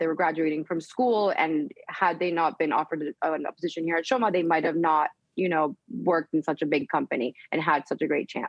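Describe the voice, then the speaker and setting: A woman with a Spanish accent speaks at a fairly quick pace. Her pitch is fairly low, with ordinary variation. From US, Colombian parents. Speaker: real estate executive. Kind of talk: TV news interview.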